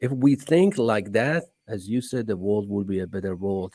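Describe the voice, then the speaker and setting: Dark and mellow in tone, a man with an Iranian accent speaks at a moderate pace, fairly low in pitch with ordinary pitch variation. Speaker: entrepreneur. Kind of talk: podcast interview.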